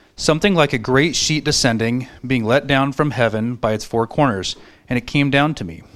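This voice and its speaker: A man's normal speaking voice at medium pitch, with ordinary pitch variation, a moderate pace, and a very clean recording over a silent background. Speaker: scripture reader. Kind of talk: reading aloud. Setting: church.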